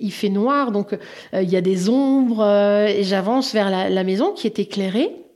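A woman at a fairly slow pace, medium pitch and ordinary pitch variation. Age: 50s. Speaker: interviewee sharing personal story. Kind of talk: personal testimony. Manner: halting, with fillers.

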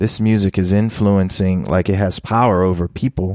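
In a very clean recording with a silent background, a man with an American accent talks in a fairly low voice and fairly even intonation, the sound dry and close with no echo. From US, Philadelphia. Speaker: DJ, producer and professor. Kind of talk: interview.

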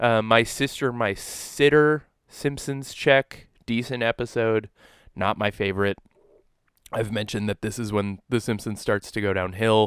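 A man with an ordinary speaking voice talks fairly slowly at a medium pitch, his intonation fairly even. The sound is dry and close with no echo, in a very clean recording with a silent background. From New Brunswick, French Canada. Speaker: podcast co-host. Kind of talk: casual chat.

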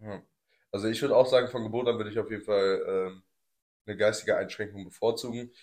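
A man at a medium pitch talks very fast in a monotone, flat way, broken by long, frequent pauses. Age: 20s. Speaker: podcast host. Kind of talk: casual chat.

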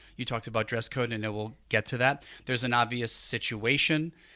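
A bright, sharp tone with a New York accent comes through on a very clean recording with a silent background. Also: man. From New York City, Brooklyn. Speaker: human resources executive. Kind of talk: casual interview. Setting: studio.

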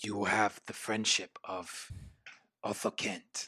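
A put-on character voice from a man, fairly low-pitched and at a very slow pace. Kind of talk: tabletop game master voicing. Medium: actual play. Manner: stiff, formal, solemn.

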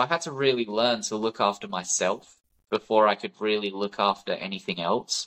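This man speaks in a British accent at a moderate pace. His pitch is fairly low, with ordinary variation. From UK. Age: 20s. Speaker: war veteran and wildlife conservationist. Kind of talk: interview conversation.

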